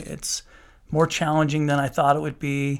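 A man speaks in a Utah accent at a moderate pace. The recording is very clean, with a silent background. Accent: American, Utah. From Utah, Salt Lake City. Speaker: juvenile court judge. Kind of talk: podcast interview.

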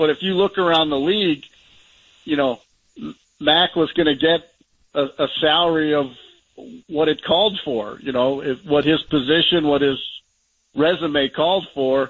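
A man's moderately paced speech, fairly high in pitch with ordinary variation, broken by long, frequent pauses. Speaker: sports analyst. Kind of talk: sports radio discussion.

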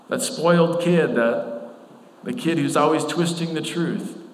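High-pitched for a man, the voice carries lively intonation at a fairly slow pace over noticeable background noise. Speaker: pastor. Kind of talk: sermon. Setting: church. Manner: not loud.

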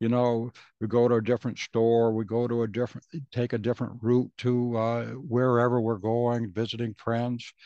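A man's medium-pitched, dark, mellow voice at a moderate pace, monotone and flat, with a dry, close sound, no echo, and a quiet background. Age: 70s. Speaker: podcast host. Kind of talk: solo monologue. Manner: halting.

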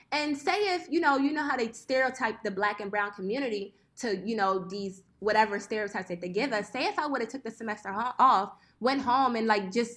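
With a Philadelphia accent, a woman speaks at a fairly high pitch and a fairly quick pace, with ordinary pitch variation and hardly any pauses, in a very clean recording with a silent background. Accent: Philadelphia American. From West Philadelphia. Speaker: apparel designer. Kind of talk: interview, casual chat.

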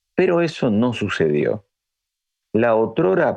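A man is speaking. His pitch swings very widely. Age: 50s. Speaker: history teacher and writer. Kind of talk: scripted narration.

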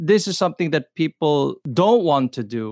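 A man with a fairly high pitch speaks at a moderate pace with very wide pitch swings. The background is quiet and the sound dry and close, with no echo. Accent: American. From Los Angeles area. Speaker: church minister. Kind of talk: casual chat with Bible teaching.

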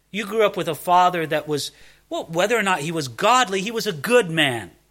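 A raised, projected male voice with an American accent, bright and sharp in tone, with very wide pitch swings at a moderate pace. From US, Southern California. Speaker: pastor. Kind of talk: sermon.

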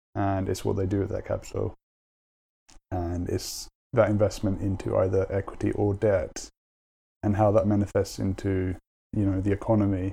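In a very clean recording with a silent background, a man with a London accent speaks at a moderate pace, leaving long, frequent pauses. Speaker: finance manager. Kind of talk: casual interview.

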